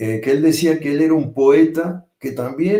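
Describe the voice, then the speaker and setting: A man with a Rioplatense accent talks at a fairly slow pace. His intonation is lively. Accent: Rioplatense accent when speaking French. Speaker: poet and translator. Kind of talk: panel discussion. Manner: hesitant, many fillers.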